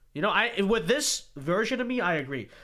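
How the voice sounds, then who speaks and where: A man speaks at a moderate pace in a raised, projected voice with a bright, sharp tone and very wide pitch swings. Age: 20s. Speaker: political commentator reacting to old videos. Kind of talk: casual reaction livestream. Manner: casual, halting.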